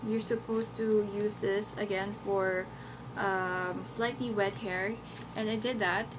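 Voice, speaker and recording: A woman speaks at medium pitch and a fairly slow pace, with fairly even intonation and very even loudness. Audible room echo surrounds her voice. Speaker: beauty vlogger. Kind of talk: product review vlog. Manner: casual, hesitant with fillers.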